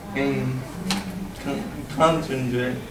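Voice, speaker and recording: A man at a very slow pace, with noticeable background noise and audible room echo. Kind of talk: presentation. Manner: loud.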